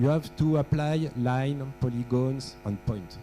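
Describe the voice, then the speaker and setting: A man speaks with a French accent. His tone is dark and mellow. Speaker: workshop presenter on aeronautical data. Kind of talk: technical workshop lecture with audience quiz. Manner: halting, with frequent fillers.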